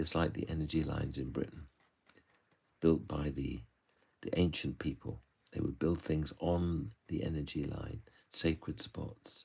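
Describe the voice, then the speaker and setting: In a West Country accent, a man with a very deep, low voice and a dark, mellow tone speaks with vocal fry, ordinary pitch variation and long, frequent pauses. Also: fairly slow pace. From southwest England, Bristol. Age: 70s. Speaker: author and illustrator. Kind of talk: live-stream drawing talk. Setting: live stream. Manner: halting, with fillers.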